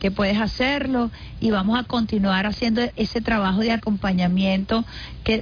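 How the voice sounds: Her intonation stays fairly even. The woman speaks at a medium pitch and a moderate pace.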